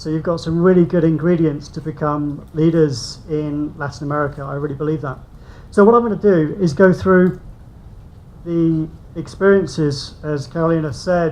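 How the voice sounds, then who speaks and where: Audible room echo surrounds a man with a British accent who speaks at a fairly high pitch and a moderate pace. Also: ordinary pitch variation. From UK. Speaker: invited speaker on construction policy. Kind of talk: conference presentation.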